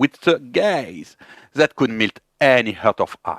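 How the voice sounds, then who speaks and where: A man with a French accent at a very slow pace, very wide pitch swings, dry, close sound with no echo, and a very clean recording over a silent background. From France. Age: 30s. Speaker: YouTuber learning English. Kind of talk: personal monologue to camera.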